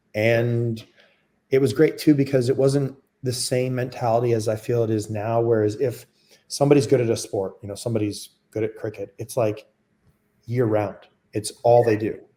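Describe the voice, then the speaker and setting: In a very clean recording with a silent background, a man with a dark, mellow tone speaks in a somewhat breathy, monotone, flat way, with long, frequent pauses. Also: medium pitch for a man, moderate pace. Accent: Canadian. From Canada. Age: 40s. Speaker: former lacrosse player. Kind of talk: interview. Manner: casual, with many fillers.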